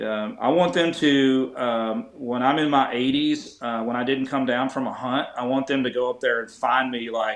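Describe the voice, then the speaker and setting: A man at medium pitch, moderate pace and fairly even intonation, with hardly any pauses. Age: 50s. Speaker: bowhunter and archery competitor. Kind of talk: casual chat. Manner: halting with many fillers.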